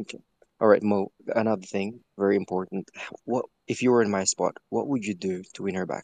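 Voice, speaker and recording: The sound is dry and close, with no echo, as a man with an unremarkable speaking voice talks at a fairly quick pace. His pitch is fairly low. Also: fairly even intonation. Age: 30s. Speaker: caller. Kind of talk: casual chat.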